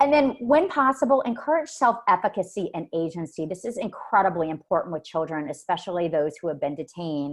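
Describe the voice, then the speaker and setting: A loud voice at a fairly quick pace with hardly any pauses and very wide pitch swings, over a quiet background. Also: woman, medium pitch for a woman. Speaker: forensic mental health evaluator. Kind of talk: webinar presentation. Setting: online webinar. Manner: verbose.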